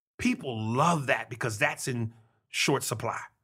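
A bright, sharp tone with vocal fry, very wide pitch swings and a New York accent. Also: man. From New York City. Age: 40s. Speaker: comedian. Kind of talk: casual chat. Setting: studio.

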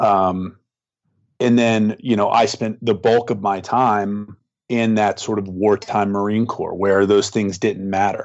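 A man's fairly low voice, fairly slow and monotone, with flat intonation. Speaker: war veteran. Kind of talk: casual chat.

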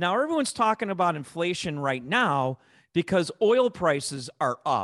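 A man with a Chicago accent talks at a moderate pace in a high pitch, making very wide pitch swings. The sound is dry and close with no echo, over a quiet background. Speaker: investment manager, co-host. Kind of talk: casual chat, podcast discussion. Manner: joking, playful.

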